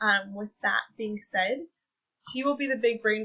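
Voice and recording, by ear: A woman with a fairly high pitch speaks at a fairly slow pace, her tone bright and sharp and her pitch varying in an ordinary way.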